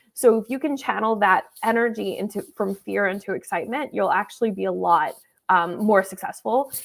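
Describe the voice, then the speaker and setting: Speaking at a fairly quick pace, a woman uses a medium pitch with vocal fry on a very clean recording with a silent background. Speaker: speaking strategist. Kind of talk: interview on a live stream. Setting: live stream. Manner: repeats words, some hesitation.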